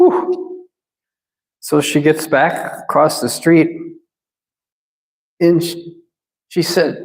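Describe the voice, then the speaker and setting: Speaking with a Minnesotan accent, a man talks at a very slow pace. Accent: Minnesota. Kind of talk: sermon. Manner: halting, repeats words.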